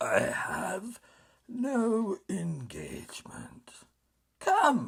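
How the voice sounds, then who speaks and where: A man's put-on character voice, raspy, raised and projected, extremely high in pitch, at a very slow pace. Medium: read story. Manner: boastful, impatient.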